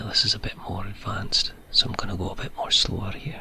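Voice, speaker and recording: Someone whispers in a Scottish accent over noticeable background noise. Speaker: ASMR creator. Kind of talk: ASMR programming tutorial. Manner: soft-spoken.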